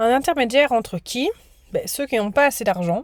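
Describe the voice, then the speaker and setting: On a very clean recording with a silent background, a woman with a fairly high voice speaks at a fairly slow pace, her pitch swinging very widely. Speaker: teacher. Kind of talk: recorded lesson for students.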